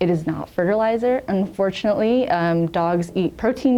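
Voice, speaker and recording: A woman speaks with an American accent and a dark, mellow tone. Her pitch varies in an ordinary way. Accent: American accent when talking to Americans. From England, near Sheffield. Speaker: city litter coordinator. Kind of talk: podcast interview. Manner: frequent um fillers.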